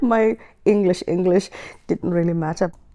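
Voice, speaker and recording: With a South African accent, a woman speaks at a moderate pace in a fairly low, dark, mellow voice with ordinary pitch variation. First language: Xhosa. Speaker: writer. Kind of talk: interview talk.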